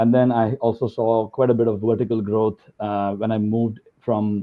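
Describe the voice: The speaker goes at a fairly quick pace with little pitch movement. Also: man.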